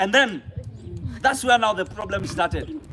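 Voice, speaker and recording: A man speaks in an animated tone, his voice raised and projected. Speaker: pastor. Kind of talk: motivational talk to students. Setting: school hall with student audience.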